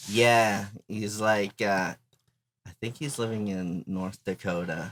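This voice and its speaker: A man speaks with a Spanish accent at a fairly low pitch. His intonation is fairly even and his pace very slow. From Arizona, Mexican-American family. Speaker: band member. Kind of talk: casual chat.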